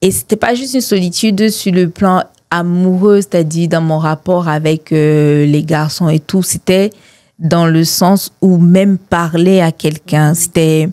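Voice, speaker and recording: In a dry, close sound with no echo, a woman speaks at a fairly slow pace with a fairly low pitch and a dark, mellow tone. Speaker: mental health advocate, founder of an organization. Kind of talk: testimony.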